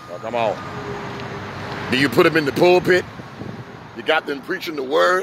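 An animated man with an American accent is heard in a dry recording with no echo, against noticeable background noise. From New York. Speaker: street preacher and pastor; street preacher, pastor. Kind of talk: sermon. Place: street. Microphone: handheld.

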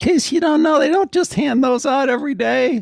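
A man talks with enthusiasm at a very fast pace, his voice dry and close with no echo. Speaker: podcast host. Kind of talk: podcast interview. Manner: enthusiastic.

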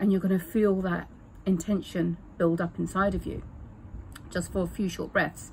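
Speech comes at a fairly slow pace over light background noise. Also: woman. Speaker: breathwork or wellness coach. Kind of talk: tutorial. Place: garden. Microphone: phone near.

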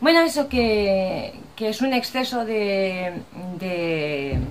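Over light background noise, a woman talks at a medium pitch with very wide pitch swings. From Spain. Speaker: vlogger. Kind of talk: casual vlog talk to camera. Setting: outdoors. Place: home room. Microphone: webcam.

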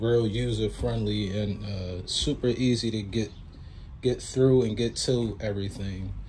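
Slow and fairly low-pitched, a man talks in a dark, mellow tone.

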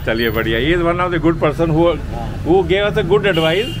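Against noticeable background noise, a man with fairly high pitch speaks with fairly even intonation. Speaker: travel vlogger. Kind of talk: casual talk to camera. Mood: cheerful, friendly. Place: market. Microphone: phone near.

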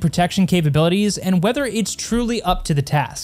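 A man at a fairly quick pace, with faint music in the background. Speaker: tech reviewer. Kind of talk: review commentary. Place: studio. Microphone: studio mic.

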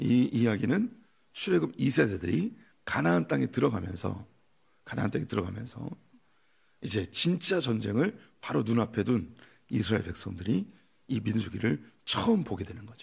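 With a quiet background, a man with vocal fry and a fairly low pitch talks at a moderate pace, his pitch swinging very widely between long, frequent pauses. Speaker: pastor. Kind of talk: sermon. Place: church. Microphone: podium.

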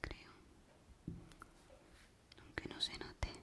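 She whispers. The speaker is a woman. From Spain. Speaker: ASMR creator. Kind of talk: ASMR video. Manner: whispered. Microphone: studio mic.

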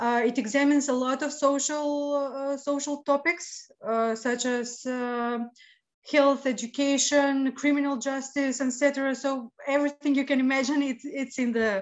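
Fairly slow, fairly even speech over a quiet background. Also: woman, high pitch for a woman. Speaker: remote guest. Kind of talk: interview answer. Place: home room. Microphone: video call.

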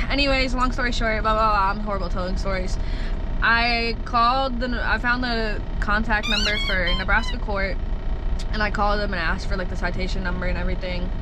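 Loud noise fills the background while a woman speaks fairly quickly. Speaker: truck driver vlogger. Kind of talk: casual vlog chat. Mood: frustrated, embarrassed storytelling. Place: car. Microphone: phone near.

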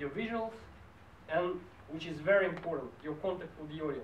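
Over light background noise and audible room echo, a man speaks at a moderate pace in a high pitch. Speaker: speech evaluator at a public speaking club. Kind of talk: speech evaluation. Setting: stage with audience. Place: meeting room. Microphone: camera far.

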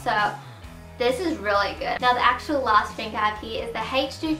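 A woman with an Australian accent speaks at a moderate pace. Faint music plays behind her, and room echo is audible. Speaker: vlogger. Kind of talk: casual talk to camera. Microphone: camera far.

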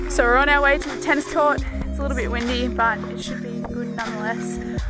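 Loud music plays in the background as the voice moves at a fairly quick pace, the sound dry with no echo. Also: woman. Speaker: vlogger. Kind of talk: casual vlog chat. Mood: cheerful, excited. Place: open country. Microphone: phone near.

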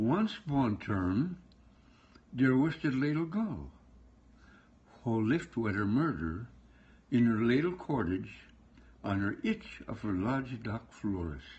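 A man talks at a fairly slow pace, leaving long, frequent pauses. His voice is somewhat breathy and swings very widely in pitch. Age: 80s+. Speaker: storyteller. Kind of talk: read story. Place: home room. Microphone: phone near.

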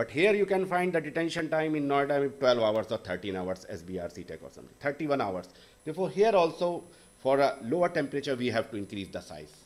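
The speech moves at a fairly quick pace. Its pitch swings very widely. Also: man, fairly high pitch for a man. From India. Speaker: professor, wastewater engineer. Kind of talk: panel talk presentation. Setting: stage with audience. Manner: halting.

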